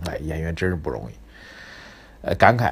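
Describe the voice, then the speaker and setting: Vocal fry and lively intonation in a man's voice. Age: 40s. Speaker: financial commentator podcast host. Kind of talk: solo market commentary, casual. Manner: animated, conversational.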